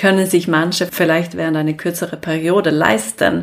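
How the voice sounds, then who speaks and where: Someone with a Swedish accent speaks with fairly even intonation. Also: woman. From Sweden. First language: Swedish (speaking German). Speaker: business consultant. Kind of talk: interview. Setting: living room. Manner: hesitant, many fillers.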